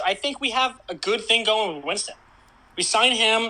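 A man raises and projects his high-pitched voice. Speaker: podcast co-host guest. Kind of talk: casual chat.

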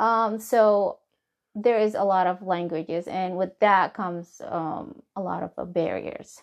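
A woman speaks with a Somali accent at a fairly slow pace. Her pitch is medium and her intonation fairly even. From Somalia. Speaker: nurse practitioner. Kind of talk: interview. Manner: halting.

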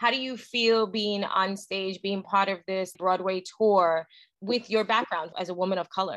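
A woman with an American accent speaks in a normal speaking voice at a moderate pace, her medium pitch carrying fairly even intonation. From Brooklyn, New York. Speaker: podcast co-host. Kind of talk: casual chat.

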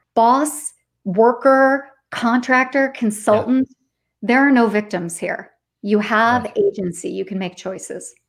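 The speech moves at a fairly slow pace with ordinary pitch variation. Loudness shifts in big swings. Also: woman, fairly high pitch for a woman. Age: 40s. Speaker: podcast host and author, former HR leader. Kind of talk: interview guest on a live stream. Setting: LinkedIn Live video stream.

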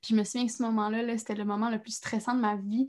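A woman's somewhat breathy, fairly high voice in a monotone, flat intonation. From Quebec, Trois-Rivières. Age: young. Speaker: actress. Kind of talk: casual interview chat.

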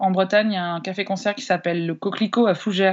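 A woman with a plain, everyday voice, ordinary pitch variation and a fairly quick pace. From France, Annecy. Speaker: singer-songwriter. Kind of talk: interview.

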